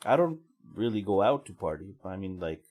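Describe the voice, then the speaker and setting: A man speaks. Music plays in the background. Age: 40s. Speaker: podcaster. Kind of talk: casual monologue.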